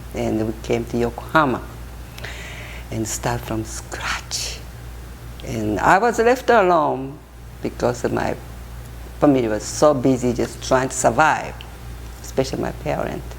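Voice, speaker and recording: Speech comes at a fairly slow pace, broken by long, frequent pauses. Audible room echo and noticeable background noise sit around it. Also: woman. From Japan. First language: Japanese. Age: 70s. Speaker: interviewee. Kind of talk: life story interview. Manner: halting.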